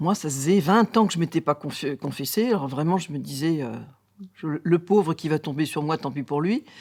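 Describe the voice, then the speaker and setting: This woman's voice sits fairly low for a woman and moves with lively intonation. She talks at a moderate pace. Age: 60s. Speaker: nurse giving faith testimony. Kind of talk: testimony. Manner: halting, many hesitations.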